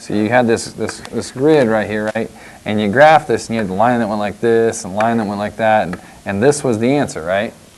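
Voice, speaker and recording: Noticeable background noise sits under a man speaking at a fairly quick pace, with a medium pitch and ordinary pitch variation. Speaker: math teacher. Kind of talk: tutorial.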